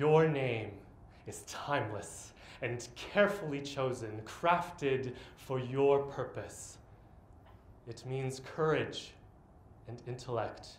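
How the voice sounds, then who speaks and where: A man talks at a very slow pace with long, frequent pauses, ordinary pitch variation, big swings in loudness, and audible room echo. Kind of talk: spoken-word poetry performance. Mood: earnest, reflective. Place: stage. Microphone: camera far.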